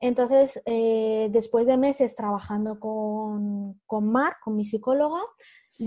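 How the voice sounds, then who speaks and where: A plain, everyday voice from a woman, pitched fairly high, its pitch varying in an ordinary way. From Spain, Madrid region (Humanes, south of Madrid). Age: 30s. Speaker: author and educator. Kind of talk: interview conversation.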